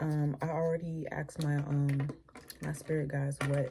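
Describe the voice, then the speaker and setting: The woman's pitch is very deep and low. It moves up and down in an ordinary way. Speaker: tarot reader. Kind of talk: casual tarot reading monologue. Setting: at home, early morning. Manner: speaking low. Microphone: too quiet.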